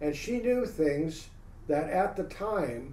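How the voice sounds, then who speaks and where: A man with an American accent has a high pitch and a dark, mellow tone, with audible room echo around him. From San Francisco Bay Area, California. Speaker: UFO researcher, former military policeman. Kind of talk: interview, storytelling.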